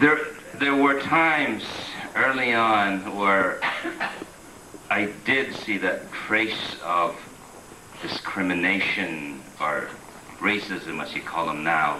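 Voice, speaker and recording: A man with a fairly low pitch speaks at a very slow pace, with very wide pitch swings and long, frequent pauses. Noticeable background noise and audible room echo surround him. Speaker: immigrant interviewee. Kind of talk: documentary interview.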